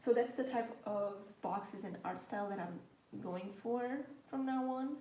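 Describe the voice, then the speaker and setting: A woman speaks at a moderate pace with a slight Portuguese accent, her fairly high voice showing ordinary pitch variation. Room echo and background noise are both noticeable. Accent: slight Portuguese undertone. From Portugal. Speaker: planner and journaling YouTuber. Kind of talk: casual live stream chat while journaling.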